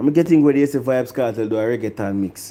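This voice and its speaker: A dark, mellow tone at a moderate pace, with a Jamaican accent. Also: man. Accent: Jamaican patois. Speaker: music review vlogger. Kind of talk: opinion rant vlog. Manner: animated.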